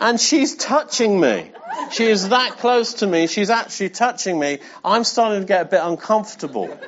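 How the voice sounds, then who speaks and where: With an English accent and lively intonation, a man speaks at a high pitch and moderate pace with very even loudness over noticeable background noise. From England. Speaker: pastor. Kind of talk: sermon. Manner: animated.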